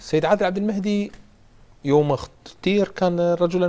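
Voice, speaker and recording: This man talks at a moderate pace. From Iraq. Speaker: TV news presenter. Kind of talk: political talk show interview. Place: studio.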